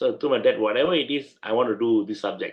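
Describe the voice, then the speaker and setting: This speaker has a Malaysian accent. The delivery is very fast. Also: man. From Malaysia (Penang). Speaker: lawyer. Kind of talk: interview.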